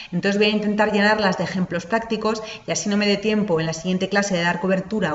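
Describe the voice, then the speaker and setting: A woman at a medium pitch and a very fast pace, fairly even intonation, with noticeable background noise and audible room echo. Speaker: lecturer, lawyer. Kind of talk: online lecture. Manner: hesitant, many fillers.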